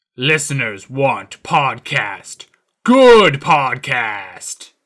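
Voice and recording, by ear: Putting on a character voice, a man speaks very slowly at a medium pitch.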